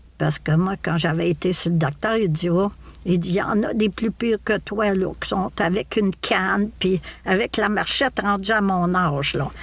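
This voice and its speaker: With a Quebec accent, a woman speaks at a moderate pace and medium pitch, her loudness very even and her pitch variation ordinary. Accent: Québécois French. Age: 70s. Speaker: podcast guest, retiree. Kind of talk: casual interview conversation. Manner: halting, many repetitions and fillers.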